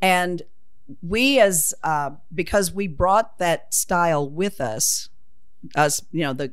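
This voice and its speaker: Speaking at a very slow pace, a woman with a Southern US accent has a fairly low pitch and lively intonation. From US South (Oklahoma). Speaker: retired English teacher. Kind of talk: casual interview about dialect.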